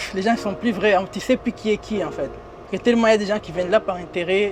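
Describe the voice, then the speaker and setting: Noticeable noise sits behind the recording. The man talks fairly quickly. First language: not French (speaking French). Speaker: comedian and influencer. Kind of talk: casual interview. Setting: in a limousine. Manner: informal street slang.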